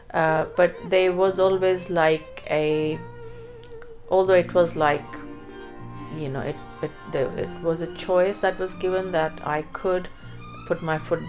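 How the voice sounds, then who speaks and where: Music plays in the background as a woman speaks. Her pace is fairly slow and her intonation fairly even. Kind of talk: interview answer.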